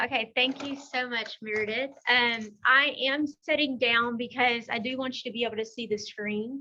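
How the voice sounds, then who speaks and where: This woman has a Texan accent and a high pitch with a bright, sharp tone. She talks at a moderate pace with fairly even intonation. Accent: Texas country. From Texas, Beaumont. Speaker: technology consultant and class presenter. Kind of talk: presentation.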